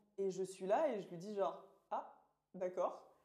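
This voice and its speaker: A woman speaks at a medium pitch in a dark, mellow tone. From Orléans, France. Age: 20s. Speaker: master's student. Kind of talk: casual chat.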